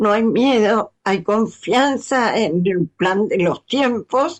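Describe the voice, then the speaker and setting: A woman speaks at medium pitch and a very slow pace. Her pitch swings very widely. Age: 70s. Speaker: radio host. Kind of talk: radio talk.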